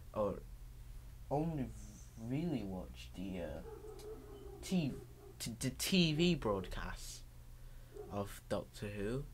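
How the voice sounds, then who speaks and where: Speech comes at a very slow pace with long, frequent pauses and audible room echo. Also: man. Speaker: video blogger. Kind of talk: casual vlog monologue. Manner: halting, many fillers and restarts.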